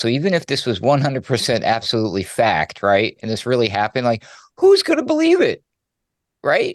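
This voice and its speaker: A man with an ordinary speaking voice talks at a fairly quick pace and a medium pitch. The sound is dry and close with no echo, against a quiet background. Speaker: radio news producer. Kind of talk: news segment, commentary.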